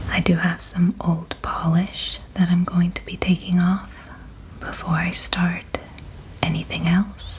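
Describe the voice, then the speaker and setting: Against noticeable background noise, a soft-spoken woman talks at a fairly slow pace. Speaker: ASMR creator. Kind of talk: ASMR soft speaking.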